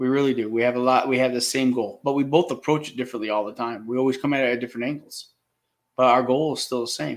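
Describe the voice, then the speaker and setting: A man mumbles at a very fast pace with fairly even intonation and a medium pitch, on a very clean recording with a silent background. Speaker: live stream host. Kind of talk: casual chat. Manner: mumbling.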